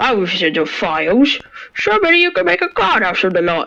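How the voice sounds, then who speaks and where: A man puts on a character voice in a Cockney accent, pitched high. He speaks at a fairly quick pace in a raised, projected voice. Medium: audio drama.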